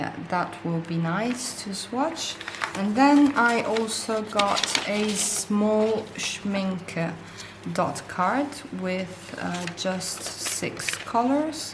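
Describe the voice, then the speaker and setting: With a non-native accent, a woman speaks at a very slow pace and a medium pitch, using lively intonation. Noticeable background noise and audible room echo fill the recording. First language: not English. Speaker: art supplies YouTuber. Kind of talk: casual unboxing vlog. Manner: hesitant at times.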